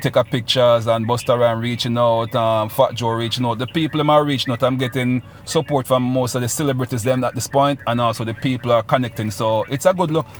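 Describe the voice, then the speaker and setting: A man speaks very fast at a medium pitch. His intonation is fairly even, and there is noticeable background noise. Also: hardly any pauses. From Jamaica, Saint Ann. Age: 40s. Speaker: reggae / dancehall artist. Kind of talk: radio interview.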